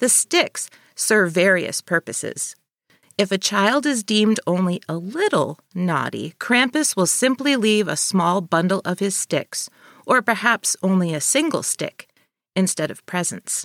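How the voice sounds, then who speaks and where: A woman with a slight Northern New York accent speaks at a fairly slow pace with lively intonation, her voice dry and close with no echo on a very clean recording against a silent background. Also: medium pitch for a woman. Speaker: podcast co-host. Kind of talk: casual chat with scripted narration.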